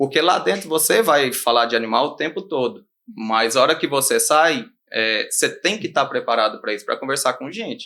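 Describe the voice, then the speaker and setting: A man speaks at a moderate pace in a Minas Gerais accent. The recording is very clean, with a silent background. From Brazil, Minas Gerais. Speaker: animal scientist and rural consultant. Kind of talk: podcast interview.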